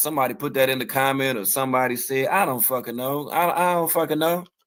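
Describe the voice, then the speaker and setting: The delivery is fairly quick, with lively intonation. The recording is very clean and the background silent. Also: man. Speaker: podcast host. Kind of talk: heated debate. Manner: fast; animated.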